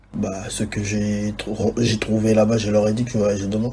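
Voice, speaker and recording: Through noticeable background noise and audible room echo, a man speaks at a fairly slow pace and fairly low pitch in a monotone, flat intonation. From DR Congo (Kinshasa), moved to Austria at 12. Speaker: videographer and photographer. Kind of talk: interview. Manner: halting, repeats words.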